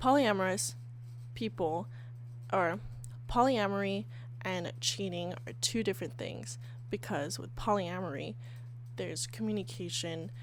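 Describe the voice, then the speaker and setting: A woman speaks at a fairly slow pace, with long, frequent pauses and big swings in loudness. Audible room echo surrounds her voice. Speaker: podcast host. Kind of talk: casual solo podcast. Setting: sitting on bed, handheld mic.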